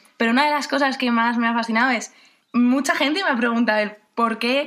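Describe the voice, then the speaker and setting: At a moderate pace, a woman speaks in a fairly high pitch with a bright, sharp tone. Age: 20s. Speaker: university student. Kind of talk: radio interview.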